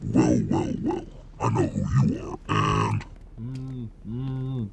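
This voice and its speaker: Over loud background noise, a man performs a put-on character voice at a very slow pace. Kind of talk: comedic parody gameplay dub. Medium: dub.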